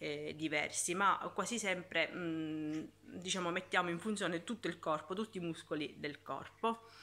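A woman speaks with a fairly low pitch and a bright, sharp tone. Her pace is moderate and her intonation fairly even. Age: 40s. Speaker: YouTuber and fitness instructor; fitness vlogger. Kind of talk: casual vlog talk; casual vlog chat. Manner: halting. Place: home room. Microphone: phone near.

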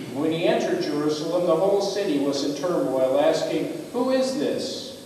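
A man's lively intonation at a moderate pace, with strong room echo and light background noise. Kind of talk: scripture reading. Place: church.

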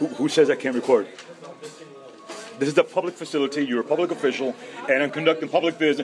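Crowd noise fills the background as a man talks at a very fast pace. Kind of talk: heated argument with an official. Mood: frustrated, impatient. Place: hall. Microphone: phone near.

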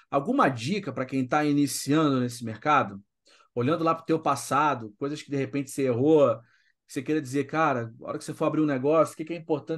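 Against a quiet background, a man with a normal speaking voice, a fairly high pitch and ordinary pitch variation talks at a fairly quick pace. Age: 40s. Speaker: podcast host. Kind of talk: casual interview chat.

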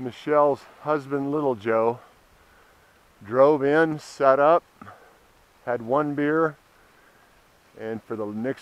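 A man talks at a very slow pace with ordinary pitch variation, the sound dry with no echo. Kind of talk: casual vlog chat. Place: bicycle. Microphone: camera far.

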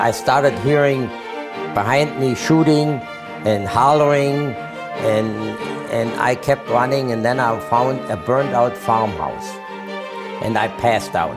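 A man at a fairly slow pace with long, frequent pauses and clear music in the background. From Germany. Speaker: Holocaust survivor. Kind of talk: interview answer. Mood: earnest, vivid recollection. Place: home room.

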